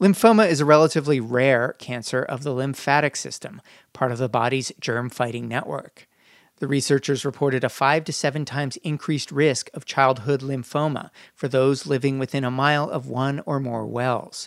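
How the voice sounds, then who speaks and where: Recorded very cleanly against a silent background, a man with a plain, everyday voice speaks at medium pitch and a moderate pace, with ordinary pitch variation. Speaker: radio reporter. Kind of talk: news reporting.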